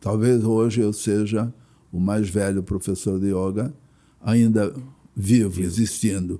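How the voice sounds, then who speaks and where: A man speaks very slowly at a fairly low pitch, with long, frequent pauses and fairly even intonation. His tone is dark and mellow, on a very clean recording with a silent background. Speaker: yoga and martial arts master. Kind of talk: interview. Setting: at host's home.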